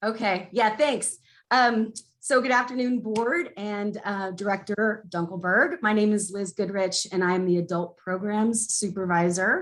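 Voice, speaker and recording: A woman with a plain, everyday voice talks at a fairly slow pace, her medium pitch showing ordinary variation. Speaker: library programs supervisor. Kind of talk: presentation at a board meeting.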